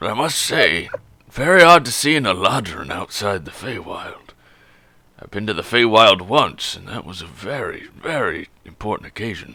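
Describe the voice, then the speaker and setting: A raspy, put-on character voice. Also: man, medium pitch for a man, moderate pace. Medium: actual play. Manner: dry, gruff, knowing.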